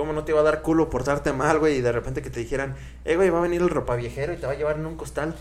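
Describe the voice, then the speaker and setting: In a Mexican accent, a man speaks very fast at a fairly high pitch, with audible room echo in the recording. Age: 20s. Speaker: podcast host. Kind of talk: casual chat. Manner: animated.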